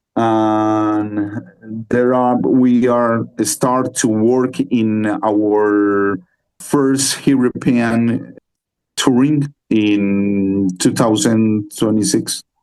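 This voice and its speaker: Over music in the background, a man speaks at a very slow pace with a medium pitch, fairly even intonation and very even loudness. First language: Spanish. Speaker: metal band musician. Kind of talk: interview. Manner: halting.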